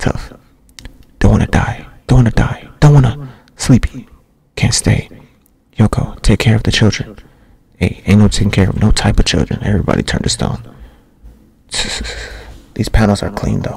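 Whispering and soft-spoken, a man talks at a moderate pace with long, frequent pauses in a dry sound with no echo. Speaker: ASMR creator. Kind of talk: ASMR manga reading with casual commentary. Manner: soft-spoken, whispering. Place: home room. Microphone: studio mic.

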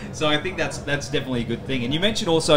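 A man speaks with ordinary pitch variation as noticeable background noise carries on around him. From Australia. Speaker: podcast host. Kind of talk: interview. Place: tent. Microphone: handheld.

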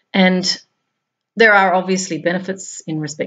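A woman with an Australian accent, monotone and flat, at a moderate pace against a quiet background. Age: 50s. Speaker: spiritual blogger. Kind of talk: reading aloud; monologue. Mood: calm, reflective. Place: home room.

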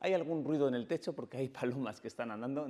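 The voice has a dark, mellow tone. The background is quiet. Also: man. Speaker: photography and video educator; video educator. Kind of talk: tutorial.

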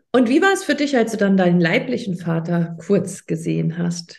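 This woman has a medium pitch and ordinary pitch variation. Vocal fry runs through her voice. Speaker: podcast host and coach. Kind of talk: interview.

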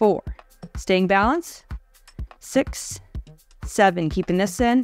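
A woman speaks at a fairly slow pace, with faint music in the background. The sound is dry, with no echo. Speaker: fitness instructor. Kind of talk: exercise instruction. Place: home room.

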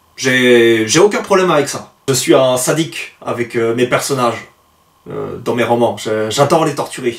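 With audible room echo over a quiet background, a man speaks at a fairly slow pace in a medium pitch with ordinary pitch variation. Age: 30s. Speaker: aspiring novelist and book reviewer vlogger; amateur writer reviewing a book. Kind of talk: book review monologue; casual book review monologue. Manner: hesitant with frequent fillers. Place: home room.

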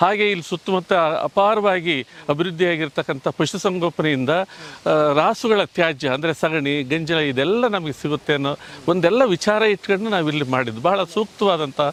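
This is a man with a high-pitched voice and ordinary pitch variation. There is noticeable background noise. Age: 60s. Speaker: retired veterinarian and compost producer. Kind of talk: promotional interview. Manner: formal.

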